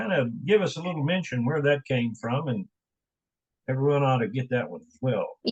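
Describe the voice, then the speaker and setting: A somewhat breathy voice with a West Virginia accent and big swings in loudness. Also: man, fairly high pitch for a man, lively intonation, moderate pace. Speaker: radio host. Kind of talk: casual interview chat.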